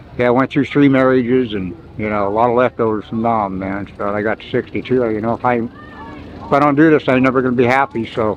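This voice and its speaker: At a fairly quick pace with hardly any pauses, a man speaks in an American accent at a medium pitch over noticeable background noise. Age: 70s. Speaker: amateur flat track racer and war veteran. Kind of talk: casual interview. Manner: casual, animated.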